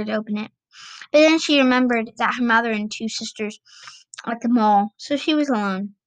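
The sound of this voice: Quiet surroundings, an unforced reading voice, and ordinary pitch variation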